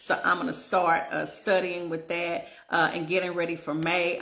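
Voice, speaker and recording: Her pitch fairly low and her tone bright and sharp, a woman talks at a moderate pace. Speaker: relationship coach. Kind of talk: casual vlog monologue. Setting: at home in bed. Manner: animated.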